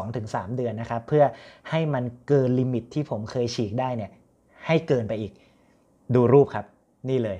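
Dark, mellow tone from a man, its pitch varying in an ordinary way. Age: 30s. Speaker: fitness trainer. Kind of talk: casual tutorial to camera. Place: home room. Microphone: phone near.

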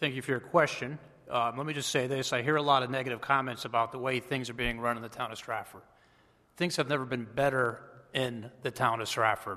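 A plain, everyday voice from a man at a medium pitch, fairly quick, with fairly even intonation. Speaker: town mayor. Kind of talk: official report to council.

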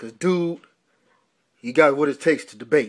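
Over a quiet background, a man speaks at a fairly quick pace with a fairly high pitch and ordinary pitch variation. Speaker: radio show host. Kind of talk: pitchman promo for a debate show. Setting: online radio show promo. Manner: punchy, repeating 'man', with a boxing-style trash-talk swagger. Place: home room. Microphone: phone near.

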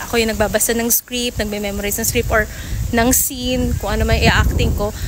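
Noticeable background noise runs through the clip. Over it, a woman talks. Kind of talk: casual vlog chat. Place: street. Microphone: phone near.

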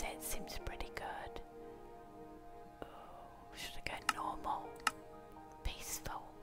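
Clear music plays behind a woman who speaks very slowly. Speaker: ASMR YouTuber. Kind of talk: ASMR gameplay commentary. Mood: playful, amused, slightly unsure. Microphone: studio mic.

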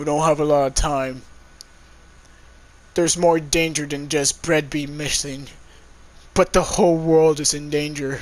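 The speaker uses a put-on character voice with monotone, flat intonation. The pace is moderate, broken by long, frequent pauses. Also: man, fairly high pitch for a man. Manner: laid-back, casual.

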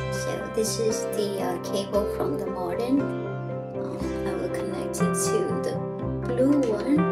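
A woman speaks at a very slow pace. Loud music plays in the background. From Myanmar. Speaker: home tech vlogger. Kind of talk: casual tech tutorial to camera. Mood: cheerful, relaxed. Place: home room. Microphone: phone near.

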